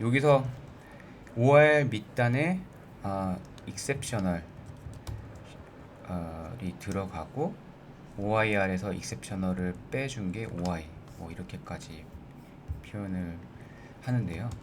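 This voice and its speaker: A man with fairly low pitch and lively intonation at a very slow pace, long, frequent pauses, big swings in loudness and audible room echo. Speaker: finance YouTuber. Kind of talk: tutorial.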